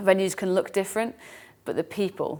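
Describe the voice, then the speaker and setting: A woman with an English accent talks at a very fast pace in a very clean recording with a silent background. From England. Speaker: fitness race organiser and podcast co-host. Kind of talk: casual chat.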